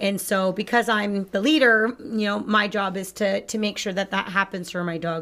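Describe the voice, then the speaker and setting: Medium in pitch, this woman has a normal speaking voice. She talks at a moderate pace with ordinary pitch variation. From Canada. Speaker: dog trainer co-host. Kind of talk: live-stream chat about puppy training.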